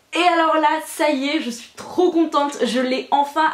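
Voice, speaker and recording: A woman speaks. Noticeable background noise runs under her voice. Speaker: booktuber. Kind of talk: casual book haul video. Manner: fast.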